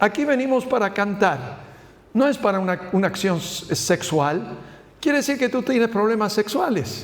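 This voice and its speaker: A man with a high voice speaks at a moderate pace with lively intonation, and there is noticeable background noise. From Spain. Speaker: pastor. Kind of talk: Bible study teaching. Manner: halting.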